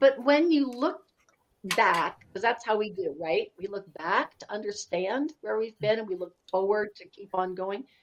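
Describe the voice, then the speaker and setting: A woman speaks at a moderate pace in a fairly high voice. Her intonation is lively. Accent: American. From US Pacific Northwest. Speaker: podcaster and storyteller. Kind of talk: casual interview chat. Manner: warm, storytelling.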